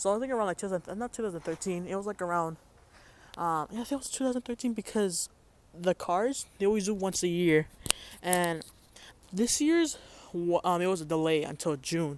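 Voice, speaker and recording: The voice is loud, moving at a fairly quick pace with ordinary pitch variation and long, frequent pauses. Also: man, high pitch for a man. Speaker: vlogger. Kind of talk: casual vlog. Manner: halting, many fillers.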